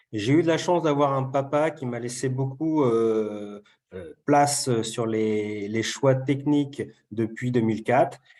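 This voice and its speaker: A man talks very slowly, keeping a medium pitch and ordinary pitch variation. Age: 40s. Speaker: farmer. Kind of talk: webinar presentation. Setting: video call. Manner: hesitant, many fillers.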